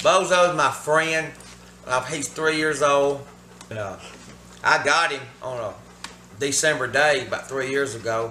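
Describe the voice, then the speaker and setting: A man talks with a fairly high pitch that shifts in an ordinary way. Noticeable background noise is present throughout. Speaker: musician and sawmill owner. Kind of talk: casual talk to camera.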